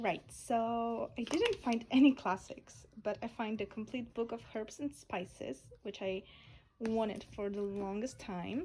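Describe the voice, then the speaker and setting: A woman's fairly high voice with a Polish accent, dark and mellow in tone, somewhat breathy, at a fairly slow pace with ordinary pitch variation. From Poland. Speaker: lifestyle vlogger. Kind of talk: casual chat.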